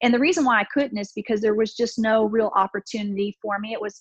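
A woman speaks in an American accent, fairly high in pitch and somewhat breathy, with fairly even intonation. The sound is dry and close, without echo. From Texas, Houston. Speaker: aerospace engineer and former Marine officer. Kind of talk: interview.

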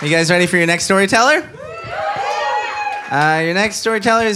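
A man's raised, projected voice is high in pitch. Noticeable background noise runs underneath. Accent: American. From Los Angeles (Inglewood), Cuban parents. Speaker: podcast host and storyteller. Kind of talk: live storytelling; live show emceeing. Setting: stage with live audience.

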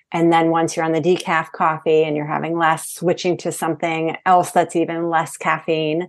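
A woman's fairly low voice in an American accent, an ordinary speaking voice at a moderate pace over a quiet background. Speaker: hormone coach. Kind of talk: interview.

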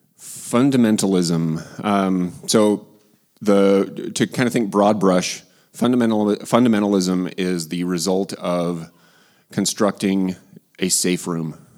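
In a very clean recording with a silent background, a man speaks very slowly with fairly even intonation. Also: fairly low pitch for a man. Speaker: philosopher. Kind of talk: panel discussion. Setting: church. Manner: dry humor.

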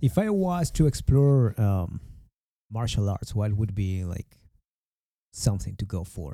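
A man with a Spanish accent, a fairly low pitch and a dark, mellow tone, lively intonation, a fairly slow pace and long, frequent pauses, in a very clean recording with a silent background. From Mexico. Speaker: podcast host. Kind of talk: casual interview chat.

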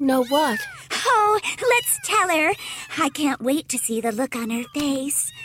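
A woman with a high voice speaks at a very slow pace, her pitch swinging very widely, over noticeable background noise. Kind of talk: horror-comedy audio drama.

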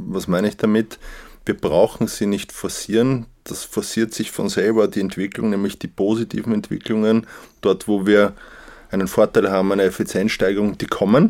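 At a moderate pace, a man with an unremarkable speaking voice talks in a fairly low pitch with fairly even intonation on a very clean recording with a silent background. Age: 40s. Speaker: managing director. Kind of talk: interview.

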